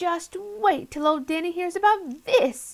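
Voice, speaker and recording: A put-on character voice comes from a woman, pitched extremely high. Her pace is fairly slow. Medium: read story. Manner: quavery, easily excited.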